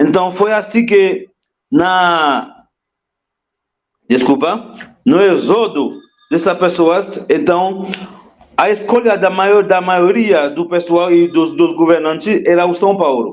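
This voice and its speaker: A man speaks very slowly at a high pitch, with long, frequent pauses. His pitch varies in an ordinary way while his loudness stays very even. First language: Haitian Creole or French (speaking Portuguese). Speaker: history teacher and immigrant rights activist. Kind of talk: interview. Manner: halting, with fillers.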